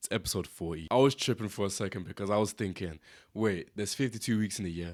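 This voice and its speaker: A man speaks with a British accent and ordinary pitch variation. The recording is very clean, with a silent background. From Britain, Zimbabwean family. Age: 20s. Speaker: podcast host. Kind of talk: casual podcast monologue. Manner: casual, conversational.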